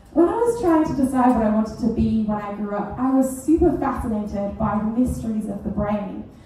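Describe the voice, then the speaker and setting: A woman with a fairly high pitch speaks at a fairly quick pace, barely pausing, with ordinary pitch variation. Noticeable background noise and audible room echo fill the recording. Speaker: PhD researcher giving comedy science talk. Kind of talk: comedic science talk. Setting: stage with audience. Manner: animated.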